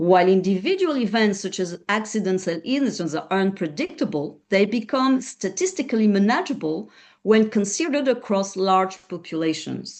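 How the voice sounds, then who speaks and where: Against a quiet background, a woman with a French accent speaks at a moderate pace with hardly any pauses, her medium-pitched voice carrying lively intonation. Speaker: researcher. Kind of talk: panel presentation. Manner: halting.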